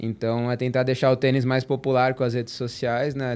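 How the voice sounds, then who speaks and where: A man of medium pitch talks at a moderate pace with monotone, flat intonation. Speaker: tennis content creator. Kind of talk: casual podcast chat.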